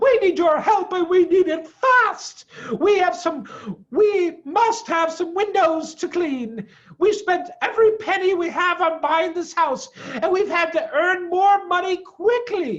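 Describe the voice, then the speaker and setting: A squeaky, put-on character voice sits at an extremely high pitch. It moves at a fairly slow pace. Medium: read story. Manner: polite, well-spoken.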